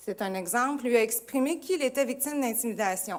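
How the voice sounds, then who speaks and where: At a moderate pace, a woman talks in a high pitch. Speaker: school administrator. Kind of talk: presentation.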